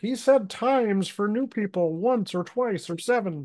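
The speaker puts on a character voice at a fairly high pitch. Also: moderate pace. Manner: pedantic, nerdy.

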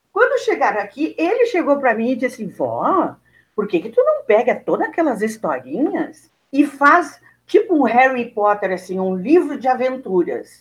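Speaking in a Rio Grande do Sul accent, a woman uses a high pitch with very wide pitch swings. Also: moderate pace. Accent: southern Brazilian Portuguese (gaúcho). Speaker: teacher, actress and writer. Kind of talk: interview.

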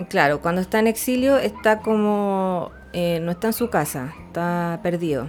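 Speaking slowly, a woman with a Chilean accent uses lively intonation and a fairly low pitch. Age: 30s. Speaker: astrology podcast co-host. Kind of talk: casual chat. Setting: live stream.

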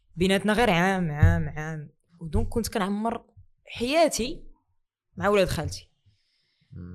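A woman talks at a fairly slow pace with lively intonation and long, frequent pauses. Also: medium pitch for a woman, very clean recording, silent background. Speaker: doctor and content creator. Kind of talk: casual interview chat.

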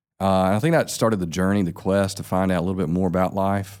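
On a very clean recording with a silent background, a man with a very deep, low pitch speaks in a Southern US accent. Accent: Southern US (Georgia). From US South, south Georgia. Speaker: pastor. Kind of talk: casual chat.

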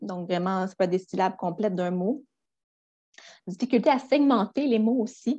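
A woman speaks fairly slowly in a dark, mellow, somewhat breathy voice. Her intonation is lively, broken by long, frequent pauses. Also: medium pitch for a woman. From Quebec, Gaspé. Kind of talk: educational interview. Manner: hesitant with fillers.

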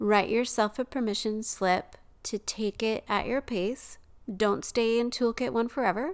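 The recording is very clean, with a silent background. A woman with a normal speaking voice talks at a fairly slow pace in a fairly high pitch with ordinary pitch variation. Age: 50s. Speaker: podcast host and elementary math teacher. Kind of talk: solo podcast monologue.

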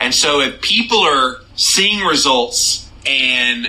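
A man's intonation is lively, with noticeable noise behind him. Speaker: podcast host. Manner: animated, fired up, scornful; talkative, conversational.

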